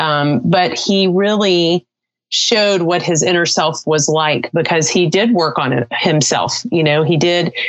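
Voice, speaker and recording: Speaking at a fairly slow pace, a woman uses an unremarkable speaking voice, fairly low in pitch, with lively intonation. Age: 40s. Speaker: business owner and spouse of a quadriplegic. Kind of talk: interview.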